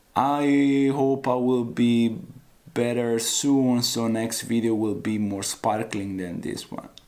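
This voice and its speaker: At a very slow pace, a man of medium pitch speaks with fairly even intonation amid audible room echo. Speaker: weight loss vlogger. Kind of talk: motivational vlog talk.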